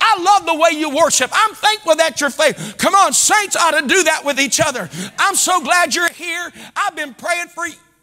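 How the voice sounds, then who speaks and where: A man with an American accent uses a raised, projected voice at an extremely high pitch, his tone animated. He keeps a moderate pace with ordinary pitch variation against a quiet background. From US Midwest. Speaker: pastor. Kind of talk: sermon. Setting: church. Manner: animated, exhorting the congregation with call-and-response; fervent and preacherly, rising in volume and emphasis. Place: church. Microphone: lapel.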